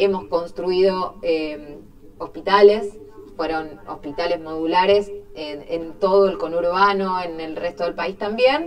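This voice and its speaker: Very slow speech over light background noise. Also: woman. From Argentina, Quilmes (Buenos Aires); Buenos Aires, Argentina. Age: 30s. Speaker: mayor, politician. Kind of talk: interview. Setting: studio. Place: studio.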